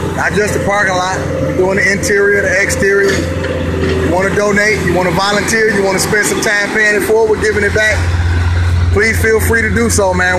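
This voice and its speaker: Loud background noise sits under a man speaking at a moderate pace. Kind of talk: casual appeal for volunteers. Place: street. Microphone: phone near.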